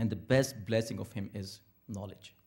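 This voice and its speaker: A man speaks at a moderate pace in a fairly low, dark, mellow voice that is somewhat breathy. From India. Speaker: imam. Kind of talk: interfaith talk. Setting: Islamic center with audience.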